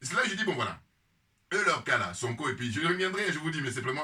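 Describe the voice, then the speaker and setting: At a very fast pace, a man talks with an animated tone and lively intonation. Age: 50s. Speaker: political commentator. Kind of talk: casual monologue. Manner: hesitant.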